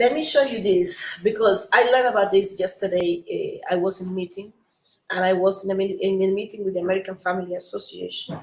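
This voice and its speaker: Delivered at a very fast pace with fairly even intonation, the speech comes in a Cuban accent. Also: woman, medium pitch for a woman. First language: Spanish. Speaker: city council candidate. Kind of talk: live campaign video update. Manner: halting, many fillers and restarts; earnest, emphatic.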